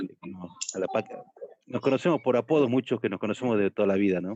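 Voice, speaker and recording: The sound is close and dry, without echo. The man's very fast speech shows ordinary pitch variation. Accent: Salta. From Salta, northwestern Argentina. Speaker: political activist. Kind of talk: casual chat.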